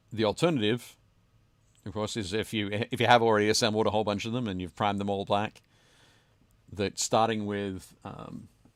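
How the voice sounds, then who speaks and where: A man with a fairly low pitch speaks at a moderate pace, his intonation fairly even and broken by long, frequent pauses. The recording is very clean, with a silent background. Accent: Australian. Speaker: podcast host. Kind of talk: casual chat. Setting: home basement, livestream.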